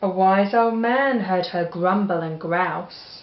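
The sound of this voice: A woman with an English accent speaks slowly at a medium pitch with ordinary pitch variation. Audible room echo surrounds her voice.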